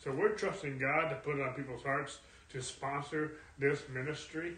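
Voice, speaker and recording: There is noticeable background noise behind this man. His voice sits at a fairly high pitch. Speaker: Bible study leader. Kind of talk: Bible study teaching. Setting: church, streamed online. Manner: informal, hesitant with fillers.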